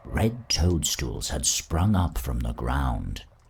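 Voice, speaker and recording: A man puts on a character voice with a very deep, low pitch. He talks at a very slow pace. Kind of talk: fairy-tale narration. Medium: game stream. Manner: calm, measured.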